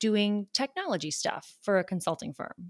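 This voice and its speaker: With an American accent, a woman uses an ordinary speaking voice at medium pitch and a moderate pace, with ordinary pitch variation and a dry, close sound with no echo. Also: very clean recording, silent background. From US South, Charleston, South Carolina. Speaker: podcast host, lawyer. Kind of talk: casual conversation.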